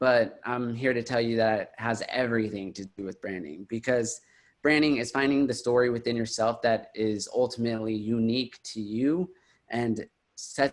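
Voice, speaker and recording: A man with an American accent speaks at a moderate pace with ordinary pitch variation in an ordinary speaking voice, on a very clean recording with a silent background. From Houston, Texas. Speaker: digital marketer and brand consultant. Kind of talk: presentation.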